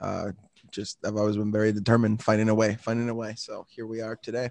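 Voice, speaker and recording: Speaking very fast in a flat monotone, a man with a fairly low voice sounds dry and close, with no echo. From Mexico (Guadalajara), then Milwaukee from age 13. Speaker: startup founder. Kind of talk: interview.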